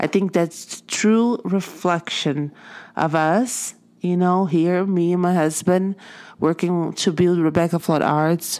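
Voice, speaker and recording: A woman with a Portuguese accent speaks at a fairly low pitch and a very slow pace, her loudness very even. The recording is very clean with a silent background. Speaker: artist and podcast host. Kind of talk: motivational monologue. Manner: animated.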